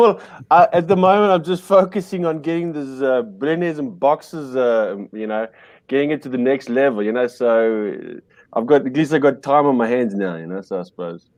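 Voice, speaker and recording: Against a quiet background, a speaker with an Afrikaans South African accent talks at a fairly quick pace, with very wide pitch swings and big swings in loudness. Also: man, fairly high pitch for a man. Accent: Afrikaans farm-boy South African. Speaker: podcast guest, media entrepreneur. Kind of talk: casual chat. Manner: halting, many fillers and restarts.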